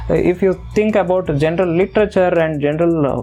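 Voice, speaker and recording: The speaker has a non-native accent and a fairly quick pace. Music plays in the background. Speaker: tech YouTuber, software developer. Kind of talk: tutorial talk to camera. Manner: many hesitations and repetitions.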